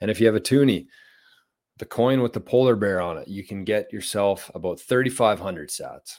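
A man with an ordinary speaking voice talks at a fairly quick pace in a fairly low pitch with ordinary pitch variation. His loudness swings widely, on a very clean recording with a silent background. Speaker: podcast host. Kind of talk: live solo show, casual talk. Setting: home, live stream.

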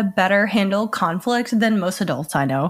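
A woman with an American accent talks at a fairly slow pace. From US South. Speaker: podcast host and filmmaker. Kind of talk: casual chat.

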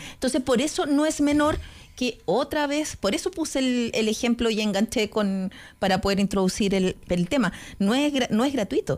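A woman's high-pitched voice with lively intonation, in a very clean recording with a silent background. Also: moderate pace, very even loudness. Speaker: journalist and political panelist. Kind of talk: political panel discussion.

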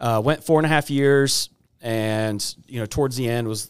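This man has a plain, everyday voice at a medium pitch, with an American accent. He speaks at a moderate pace. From Texas. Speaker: cabinet company owner. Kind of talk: interview. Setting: studio.

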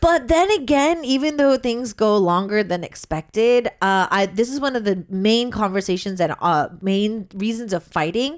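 A woman's unremarkable speaking voice, lively in intonation, at a moderate pace with hardly any pauses. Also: fairly high pitch for a woman. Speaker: radio host. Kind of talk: casual chat. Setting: studio.

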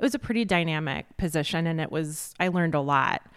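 A woman with an American accent speaks at a fairly quick pace in a fairly low pitch, showing ordinary pitch variation. Hers is an unremarkable speaking voice, captured in a very clean recording with a silent background. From Chicago southwest suburbs, Illinois. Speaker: magazine editor. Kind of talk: casual interview. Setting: recorded on location at a restaurant.

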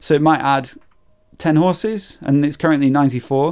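A man with a British accent speaks at a fairly high pitch on a very clean recording with a silent background. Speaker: podcast host. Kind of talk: casual chat.

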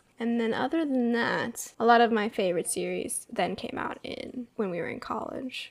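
A woman's fairly high-pitched voice, an ordinary speaking voice with ordinary pitch variation. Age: 20s. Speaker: podcast co-host, admin assistant. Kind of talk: casual chat.

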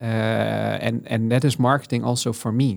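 Heard in a very clean recording with a silent background, a man with a Dutch accent talks at a medium pitch and a fairly slow pace. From Netherlands, south. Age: 40s. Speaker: head of data and digital at a food company. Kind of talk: interview. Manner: halting, many fillers.

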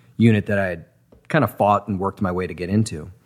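The man's intonation remains fairly even. His pitch is very deep and low. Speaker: screenwriter and voice actor. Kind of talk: casual interview.

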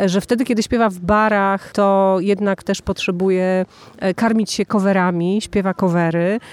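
A woman speaks in a plain, everyday voice at medium pitch and a moderate pace, with ordinary pitch variation, in a dry, close sound with no echo on a very clean recording with a silent background. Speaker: podcast host and festival presenter. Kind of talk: interview with translation. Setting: at a music festival.

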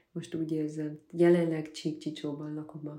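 A woman speaks at a moderate pace with a fairly low pitch and a dark, mellow tone. Audible room echo is present. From Transylvania, Székely Land (Gyergyó region). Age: 20s. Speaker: photographer from a farming family. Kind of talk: interview.

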